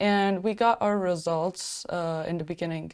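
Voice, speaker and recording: A woman speaks with a Turkish accent and ordinary pitch variation. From Turkey. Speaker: student. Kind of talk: webinar panel discussion.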